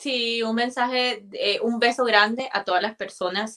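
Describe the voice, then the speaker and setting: A woman talks with a bright, sharp tone at a fairly high pitch. Her intonation stays fairly even. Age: 20s. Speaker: immigrant guest sharing her story. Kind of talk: live interview.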